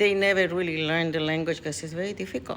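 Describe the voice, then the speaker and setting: A woman with a non-native accent speaks in a bright, sharp tone. Her pitch is fairly low, with ordinary variation. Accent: foreign accent in English. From USA, immigrant since teens. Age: 70s. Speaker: vlogger. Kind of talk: personal vlog monologue. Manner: halting, many fillers.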